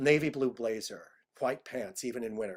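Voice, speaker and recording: The pitch of this man's voice is medium. It rises and falls in an ordinary way. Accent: American. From Iowa, US Midwest. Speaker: cabaret singer. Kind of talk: interview.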